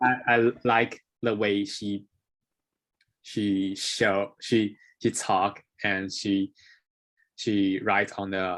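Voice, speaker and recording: A man talks very slowly in a Taiwanese accent, with long, frequent pauses. His fairly low voice stays monotone and flat. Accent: Taiwanese Mandarin-accented English. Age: young. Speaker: English learner. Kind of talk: interview. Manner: halting.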